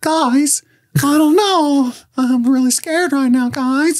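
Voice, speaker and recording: A put-on character voice, high-pitched and whiny, comes at a fairly slow pace. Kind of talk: casual podcast chat. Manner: whiny, unsure, scared. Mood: joking mock fear.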